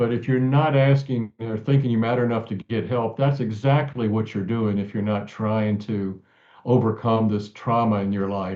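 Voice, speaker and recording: A man's ordinary speaking voice, medium in pitch, at a moderate pace with fairly even intonation. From central Virginia. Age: 60s. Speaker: author and abuse survivor advocate. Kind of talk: interview.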